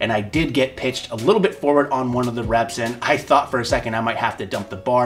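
Faint music plays behind a man who talks fairly quickly with fairly even intonation. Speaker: strength athlete reviewing shoes. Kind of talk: product review talk to camera.

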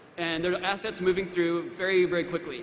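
Here a man talks at a fairly quick pace with high pitch and fairly even intonation. Light background noise and audible room echo fill the recording. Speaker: panelist. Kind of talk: panel talk anecdote. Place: stage. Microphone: podium.

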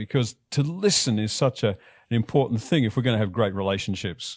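Behind the voice, the background stays quiet. The speech moves at a fairly quick pace. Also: man. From Australia. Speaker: pastor. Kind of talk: sermon delivered to a congregation. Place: church. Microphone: headset.

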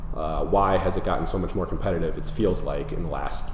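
A man at a fairly quick pace with an American accent, audible room echo and light background noise. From Minnesota, Twin Cities suburbs. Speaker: real estate agent. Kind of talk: market update presentation. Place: home room.

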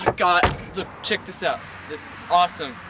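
A man at a moderate pace, dry sound with no echo, and light background noise. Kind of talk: comedic storytelling skit. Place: garden.

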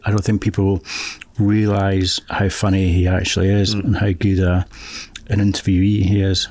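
A man with a Scottish accent speaks in a fairly low pitch, with a dry sound and no echo. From Scotland, Fife; Scotland. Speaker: filmmaker and author; guest. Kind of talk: casual chat. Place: studio. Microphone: studio mic.

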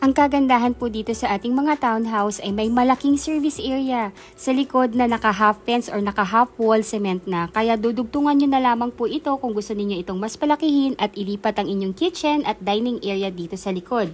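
Music plays behind a woman speaking at a fairly quick pace in a fairly high voice. Her tone is upbeat, and her pitch varies in an ordinary way. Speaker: real estate broker. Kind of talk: sales pitch. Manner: brisk, upbeat, persuasive pitchman-style urgency; polite, formal, rehearsed.

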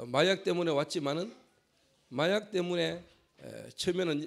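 A man at a moderate pace. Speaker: pastor. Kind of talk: sermon. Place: church. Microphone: handheld.

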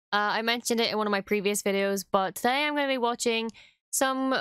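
A woman at a fairly quick pace with ordinary pitch variation, dry sound with no echo, and a quiet background. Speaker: content creator. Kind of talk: casual vlog chat. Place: home room. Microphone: studio mic.

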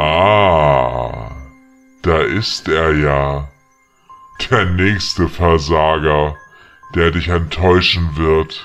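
In a put-on character voice with very deep, low pitch, a man speaks very slowly with long, frequent pauses over faint music in the background. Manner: taunting, mocking.

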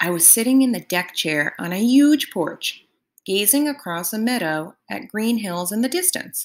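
With a quiet background, the speaker does plain reading aloud with lively intonation.

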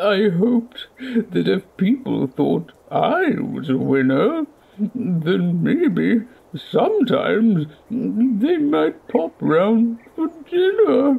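In a cartoonish character voice with a fairly high pitch, the speaker goes at a very slow pace. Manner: remorseful, sheepish.

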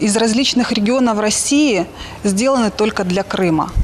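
A woman speaks with an unremarkable speaking voice, fairly high in pitch and lively in intonation. Her pace is moderate, with light background noise. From Sochi, southern Russia; Russia. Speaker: local resident asking a question. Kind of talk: question on live broadcast. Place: street. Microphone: handheld.

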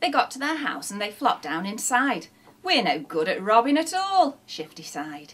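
In a natural voice, someone reads aloud.

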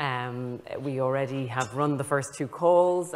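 A woman speaks with a very deep, low pitch. Her pitch varies in an ordinary way. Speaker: research funding agency director; panelist. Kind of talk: panel discussion. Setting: conference stage with audience. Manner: repetitive, halting. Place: stage. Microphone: lapel.

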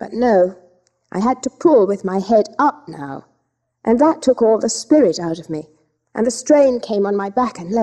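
Someone reads aloud plainly. Behind the reading, the background is quiet.

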